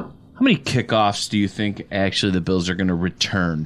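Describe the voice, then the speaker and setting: This is a man with a Western New York accent. He talks at a fairly quick pace. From Buffalo, western New York. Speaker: football coach. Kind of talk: casual chat. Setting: studio.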